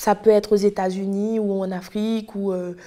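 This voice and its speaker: Over a silent background on a very clean recording, a woman speaks at a moderate pace and medium pitch, her dark, mellow tone held in a monotone, flat intonation. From Haiti. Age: 20s. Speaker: testimony guest, history graduate. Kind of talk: testimony. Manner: halting, many repetitions and fillers.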